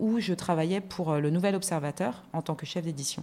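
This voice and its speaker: A woman's medium pitch with a dark, mellow tone and ordinary pitch variation. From France. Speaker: magazine editorial director and TV columnist. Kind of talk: casual interview.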